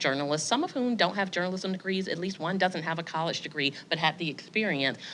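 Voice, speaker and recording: A woman with a Southern US accent speaks in a bright, sharp tone with ordinary pitch variation, on a very clean recording with a silent background. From US South. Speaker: editor. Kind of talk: panel discussion.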